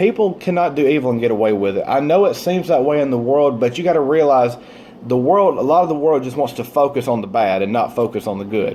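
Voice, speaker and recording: Against noticeable background noise, a man talks at a very fast pace, his pitch swinging very widely. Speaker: author and motivational vlogger. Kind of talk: motivational talk to camera. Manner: stumbles over words.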